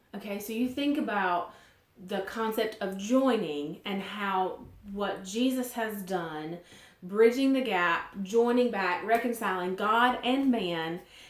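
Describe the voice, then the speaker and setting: A woman with a Southern US accent speaks at a very slow pace, medium pitch and ordinary pitch variation. Audible room echo and noticeable background noise surround her. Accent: southern drawl. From US South. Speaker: Bible teacher. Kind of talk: devotional Bible teaching. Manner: casual, conversational.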